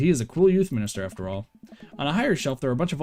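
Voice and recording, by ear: Natural-voiced reading of a text out loud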